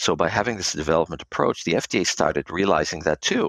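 A man with an American accent speaks fairly quickly in a very deep, low voice. The sound is dry and close, with no echo. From Israel and United States. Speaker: pharma quality assurance executive. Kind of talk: interview.

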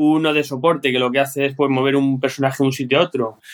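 A man speaks at a fairly quick pace. He has a normal speaking voice. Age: 40s. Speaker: board game player. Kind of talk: casual chat.

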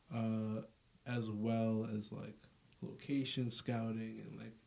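Medium in pitch, the man speaks with fairly even intonation. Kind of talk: casual interview chat.

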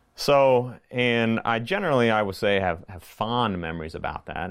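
Vocal fry runs through the voice of a man speaking with an American accent. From Virginia (Lynchburg area), US South. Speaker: school principal. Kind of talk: interview conversation. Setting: school building.

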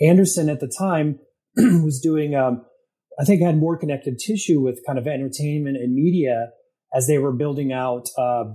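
Somewhat breathy, with a dark, mellow tone, a man speaks in an American accent at a moderate pace. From upstate New York. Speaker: media executive and Air Force veteran. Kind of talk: interview. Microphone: echo.

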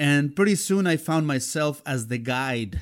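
A man with a Spanish accent and lively intonation, in a very clean recording with a silent background. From Mexico, Xalapa, Veracruz. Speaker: music journalist and DJ. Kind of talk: interview storytelling.

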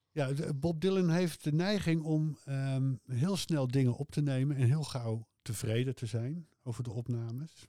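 A man with a dark, mellow tone and a fairly high pitch talks at a fairly slow pace with ordinary pitch variation and hardly any pauses. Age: 60s. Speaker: music fan, host's father. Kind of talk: casual interview about music. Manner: hesitant, many filler sounds.

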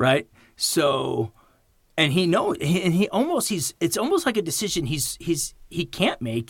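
A man's animated, passionate voice with very wide pitch swings. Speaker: film podcast host. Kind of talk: casual movie discussion over drinks.

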